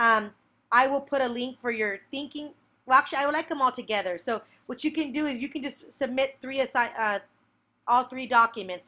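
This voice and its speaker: A woman's raised, projected voice, high and with a bright, sharp tone, with ordinary pitch variation, on a very clean recording with a silent background. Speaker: teacher. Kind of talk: screencast tutorial. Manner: fast; animated.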